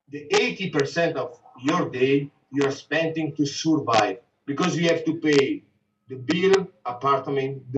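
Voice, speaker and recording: A man with an Italian accent, fairly slow, with ordinary pitch variation. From Italy, Venice. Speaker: businessman. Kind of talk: casual conversation.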